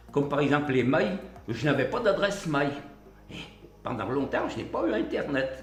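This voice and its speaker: Amid audible room echo and noticeable background noise, a man speaks at a moderate pace and fairly high pitch with lively intonation, pausing long and often. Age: 80s+. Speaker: retired miner, tablet course participant. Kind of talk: interview testimony. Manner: halting.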